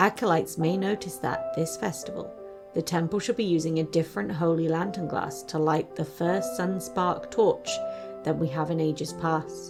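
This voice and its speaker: With music in the background, a woman keeps a moderate pace. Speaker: streamer, VTuber. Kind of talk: fantasy story narration.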